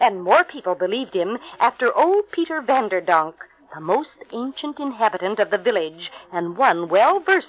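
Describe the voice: Plain reading aloud, nothing more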